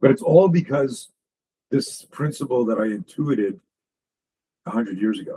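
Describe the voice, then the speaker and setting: A man's fairly high, somewhat breathy voice with a dark, mellow tone, very wide pitch swings and long, frequent pauses. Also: moderate pace. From Canada. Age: 60s. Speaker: self-defense instructor. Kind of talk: podcast interview. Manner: animated.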